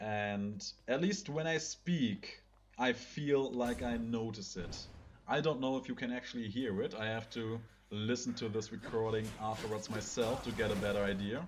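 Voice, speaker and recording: With a German accent, a man speaks at medium pitch. His pace is moderate and his pitch varies in an ordinary way. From Germany. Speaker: gaming video creator. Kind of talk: let's play commentary. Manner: casual, somewhat halting non-native English.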